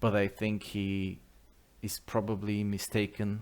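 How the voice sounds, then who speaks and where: On a very clean recording with a silent background, a man with a non-native accent speaks at a fairly low pitch. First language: not English. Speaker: mystery video narrator. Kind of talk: video commentary.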